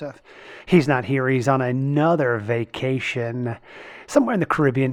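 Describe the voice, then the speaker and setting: A man talks at a moderate pace and a medium pitch with fairly even intonation, over noticeable background noise. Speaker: podcast host. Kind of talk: podcast intro.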